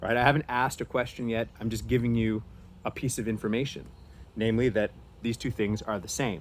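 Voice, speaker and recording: A man talks at a fairly quick pace with a medium pitch. He has ordinary pitch variation and an unremarkable speaking voice. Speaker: teacher. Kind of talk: lecture.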